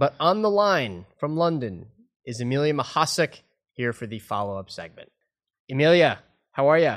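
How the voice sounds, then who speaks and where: Against a quiet background, a man with a fairly high voice speaks in an animated tone, his pitch swinging very widely, with long, frequent pauses. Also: moderate pace. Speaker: podcast host. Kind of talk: casual chat.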